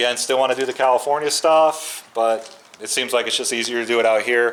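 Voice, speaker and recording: Quick speech from a man, at a fairly fast pace. Noticeable background noise runs underneath. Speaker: channel owner doing garage and shop build videos. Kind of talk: casual vlog talk to camera. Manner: halting, lost for words.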